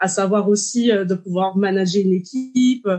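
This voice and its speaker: Her voice sits at a medium pitch for a woman and is somewhat breathy. The woman's pitch varies in an ordinary way. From Martinique. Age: 30s. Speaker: dietitian. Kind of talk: interview.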